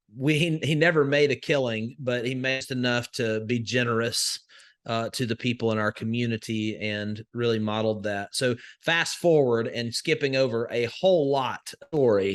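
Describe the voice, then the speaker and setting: A man with a Southern US accent, medium in pitch, with ordinary pitch variation at a moderate pace, the sound dry and close with no echo against a quiet background. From US South, northwest Alabama. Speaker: crypto investor and educator. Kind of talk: podcast interview. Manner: many fillers and restarts.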